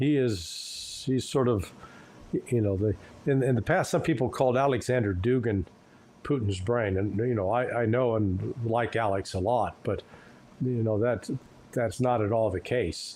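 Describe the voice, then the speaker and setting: Speaking at a moderate pace with very even loudness, a man uses a medium pitch with ordinary variation and a dark, mellow, somewhat breathy tone. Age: 70s. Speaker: geopolitical commentator. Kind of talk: interview. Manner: halting, with frequent repetitions.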